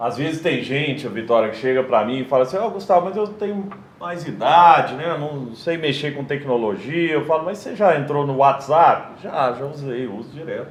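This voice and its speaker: A man with a Triângulo Mineiro accent, his fairly high pitch and lively intonation at a moderate pace with hardly any pauses, amid noticeable background noise and audible room echo. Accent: Minas Gerais (Triângulo Mineiro). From Brazil, Minas Gerais (Triângulo Mineiro, Araguari). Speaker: tech entrepreneur and panel moderator. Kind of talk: live panel talk with sales pitch. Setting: live event stage.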